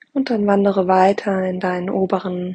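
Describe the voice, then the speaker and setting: At a fairly slow pace, a woman with a medium pitch talks in an unremarkable speaking voice. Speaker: podcast host. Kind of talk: guided meditation. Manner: slow, calm and soothing; soft-spoken, gentle, with long pauses.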